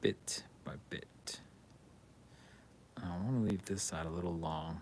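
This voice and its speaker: A man speaks quietly in a very deep, low voice. His pitch shows ordinary variation. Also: fairly slow pace. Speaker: hobby streamer building miniature terrain. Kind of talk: casual live-stream chat while crafting. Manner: quiet while concentrating.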